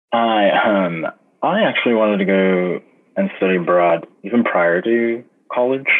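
With an American accent, a man talks in a plain, everyday voice at a fairly low pitch and a fairly slow pace, his loudness very even and his pitch variation ordinary. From Los Angeles, California. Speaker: program manager and artist. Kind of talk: interview.

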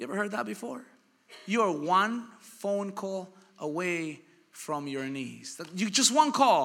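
Over audible room echo, a man with a high pitch speaks in an animated tone at a fairly slow pace, with very wide pitch swings and big swings in loudness. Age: 30s. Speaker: pastor. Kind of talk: sermon.

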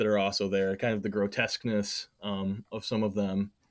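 A man's plain, everyday voice at a fairly low pitch and moderate pace, on a very clean recording with a silent background. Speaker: comics collector and fansite writer. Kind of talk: casual interview chat.

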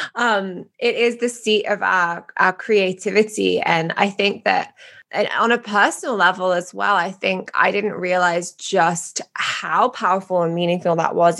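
A woman speaks in a British accent at a medium pitch. Her pace is moderate and her intonation fairly even. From England. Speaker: podcast host. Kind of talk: podcast interview.

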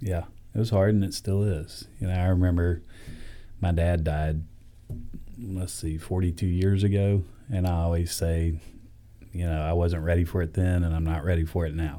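A man's very deep, low voice with a dark, mellow tone and a Southern US accent, at a moderate pace with fairly even intonation and long, frequent pauses. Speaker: pastor. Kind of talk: interview. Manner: warm, conversational.

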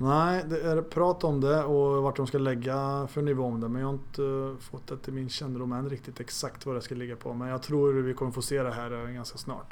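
Here a man talks at a fairly quick pace and medium pitch. His intonation is monotone and flat. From Sweden, Arvika (Värmland). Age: 40s. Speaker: goalkeeping coach and police officer. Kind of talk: interview. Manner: halting.

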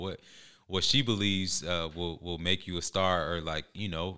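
The speaker has an American accent and a bright, sharp tone with fairly even intonation. The recording is very clean, with a silent background. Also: man. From Georgia, US (metro Atlanta). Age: 30s. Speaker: former pro football player, motivational speaker. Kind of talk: interview.

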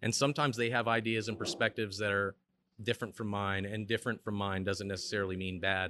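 Very fast speech with an American accent, a bright, sharp tone and fairly even intonation, against a quiet background. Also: man, fairly low pitch for a man. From Chicago, US Midwest. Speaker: brewery manager. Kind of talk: casual interview.

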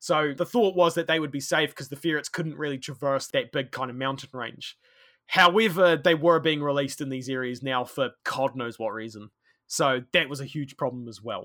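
A bright, sharp tone with a New Zealand accent, moderate pace, ordinary pitch variation and big swings in loudness on a very clean recording with a silent background. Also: man, fairly high pitch for a man. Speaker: conservation worker and history podcaster. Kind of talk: interview, storytelling.

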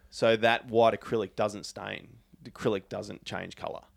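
In a very clean recording with a silent background, a man speaks with an Australian accent. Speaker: tobacco pipe maker. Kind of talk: casual chat. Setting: at his home.

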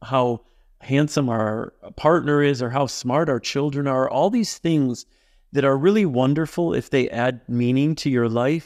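A man's normal speaking voice at medium pitch, with ordinary pitch variation, a fairly slow pace, very even loudness and a quiet background. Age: 50s. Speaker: author and love activist. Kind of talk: interview.

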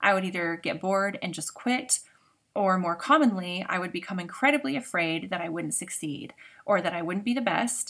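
The recording is very clean, with a silent background. A woman at medium pitch speaks at a moderate pace with lively intonation. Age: 40s. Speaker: podcast host, trauma healing. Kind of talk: solo podcast monologue. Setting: home recording in makeshift blanket fort.

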